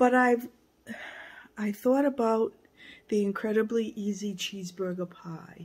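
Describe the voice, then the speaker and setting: On a very clean recording with a silent background, a woman speaks at a fairly slow pace. Her voice is somewhat breathy. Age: 60s. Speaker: vlogger. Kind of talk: casual vlog.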